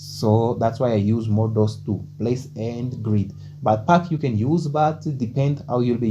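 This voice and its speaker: A man's pitch varies in an ordinary way while music plays in the background. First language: Portuguese. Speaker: programming tutorial creator. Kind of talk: tutorial. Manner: hesitant, many fillers like okay and uh.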